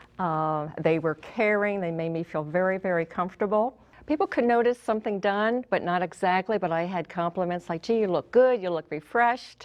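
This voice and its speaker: A woman with an ordinary speaking voice talks at a fairly quick pace, her medium pitch varying in an ordinary way. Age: 60s. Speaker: customer giving testimonial. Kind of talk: testimonial.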